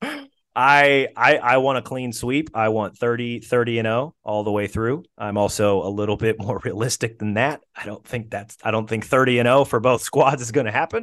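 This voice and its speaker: A man talks in a plain, everyday voice at medium pitch. His pace is moderate and his intonation fairly even. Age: 30s. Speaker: sports journalist and podcast host. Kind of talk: casual chat, interview. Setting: audio-only recording, late evening.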